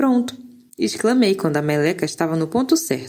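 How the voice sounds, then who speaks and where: Her tone animated, a woman talks at a medium pitch. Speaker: audiobook narrator. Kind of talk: audiobook reading of a novel, first-person narration with dialogue. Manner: storytelling, animated, shifts tone for characters' lines.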